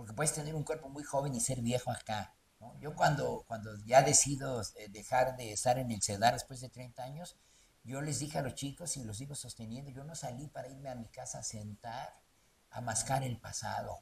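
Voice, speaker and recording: Somewhat breathy, a man talks at a moderate pace with fairly even intonation and big swings in loudness. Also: medium pitch for a man. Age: 60s. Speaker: theatre actor and director. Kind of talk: interview. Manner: halting.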